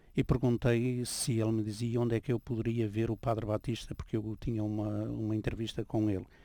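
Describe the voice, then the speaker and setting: A man with a European Portuguese accent speaks at a medium pitch and a moderate pace in a dark, mellow tone. His intonation is monotone and flat, in a very clean recording with a silent background. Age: 70s. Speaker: priest and former journalist. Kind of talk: radio interview.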